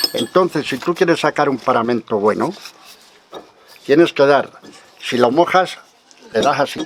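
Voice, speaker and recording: At a fairly slow pace, a man speaks with long, frequent pauses and a fairly high pitch. His pitch varies in an ordinary way, and there is noticeable background noise. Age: 70s. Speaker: stonemason. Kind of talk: demonstration interview, casual explanation. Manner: informal, colloquial.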